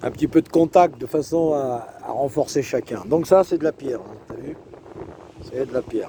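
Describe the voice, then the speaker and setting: Noticeable background noise behind a man's fairly high voice, at a very slow pace. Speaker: self-proclaimed preacher vlogger. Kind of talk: casual monologue, religious warning vlog. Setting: outdoors on a beach. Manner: animated.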